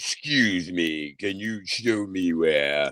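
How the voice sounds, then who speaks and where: Putting on a character voice, a man speaks very slowly with a very deep, low pitch. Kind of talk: polite, formal.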